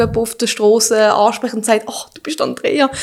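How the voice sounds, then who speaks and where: In a normal speaking voice, a woman talks at a fairly quick pace. Her pitch is fairly high and her intonation fairly even. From Switzerland, Basel. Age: 30s. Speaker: fitness influencer. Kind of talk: casual interview.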